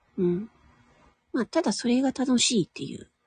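A woman speaks quietly at a moderate pace, with a high pitch and a dark, mellow tone. The sound is dry and close, with no echo. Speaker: voice actor and audio streamer. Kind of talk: casual solo talk. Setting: at home in a room. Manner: quiet, low volume.

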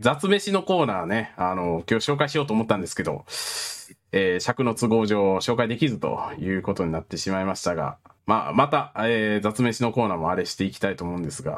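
A man with an unremarkable speaking voice talks at a fairly quick pace and fairly low pitch. His intonation is lively, on a very clean recording with a silent background. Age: 20s. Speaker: podcast host. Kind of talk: casual chat.

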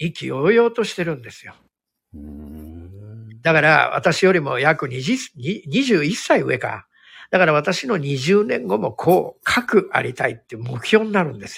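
A man talks at a fairly slow pace with big swings in loudness. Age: 60s. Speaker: hairdresser and salon owner. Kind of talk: casual chat. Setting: live online audio stream. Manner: gentle, soft-spoken.

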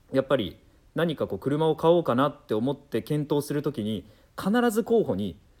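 A man's fairly high-pitched voice with vocal fry, very wide pitch swings and a moderate pace. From Nagoya, Aichi, Japan. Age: 30s. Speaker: radio and TV announcer. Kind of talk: casual chat. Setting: studio.

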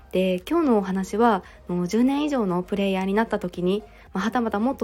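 Ordinary pitch variation marks a woman's talking at a fairly quick pace. She uses an ordinary speaking voice. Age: 30s. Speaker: podcaster and working mother. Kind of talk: solo podcast talk. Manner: frequent fillers.

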